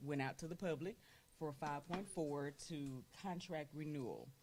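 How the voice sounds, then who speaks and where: A woman with a Southern US accent speaks in a very deep, low voice. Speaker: school board president. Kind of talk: formal meeting chairing. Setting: board meeting room with microphones. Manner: loud.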